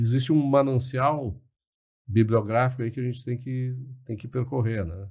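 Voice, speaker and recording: At a moderate pace, a man speaks at a medium pitch with fairly even intonation and big swings in loudness. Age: 60s. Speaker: liberal commentator, podcast guest. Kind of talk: podcast interview. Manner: hesitant, many fillers and repetitions.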